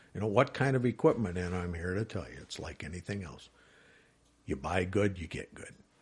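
A man's very deep, low voice with an American accent, vocal fry, lively intonation and a fairly quick pace. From Wisconsin. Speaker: private detective. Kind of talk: interview.

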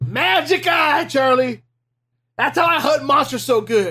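A man performs a put-on character voice. His pitch is extremely high. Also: fairly slow pace, very clean recording, silent background. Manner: enthusiastic, silly.

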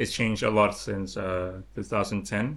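A man's fairly low voice with a Lao accent and fairly even intonation. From Laos. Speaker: artist. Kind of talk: interview.

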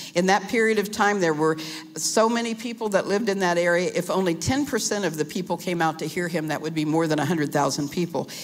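Speaking at a fairly quick pace, a woman uses lively intonation at a medium pitch over noticeable background noise. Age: 70s. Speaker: pastor. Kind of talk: sermon. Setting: church with live congregation. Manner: halting.

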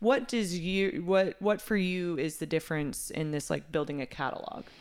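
In a very clean recording with a silent background, a woman with an American accent and an ordinary speaking voice talks at a fairly low pitch, with ordinary pitch variation, at a moderate pace. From Texas. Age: 30s. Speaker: podcast host and music producer. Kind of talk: casual interview chat. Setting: studio.

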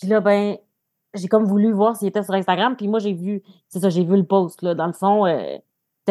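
A woman speaks fairly quickly at a medium pitch, her intonation fairly even. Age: 30s. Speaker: social worker, partner of guest. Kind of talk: personal testimony.

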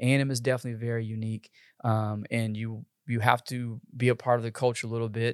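Speech with an American accent runs at a very fast pace in a flat, monotone way. The recording is very clean with a silent background, and the sound is dry and close with no echo. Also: man, medium pitch for a man. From Texas. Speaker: university admissions recruiter. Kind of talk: interview.

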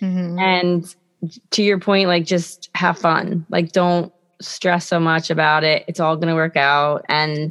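A woman with a plain, everyday voice talks at a moderate pace, keeping her fairly low pitch in fairly even intonation. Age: 30s. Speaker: podcast co-host. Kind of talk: casual chat.

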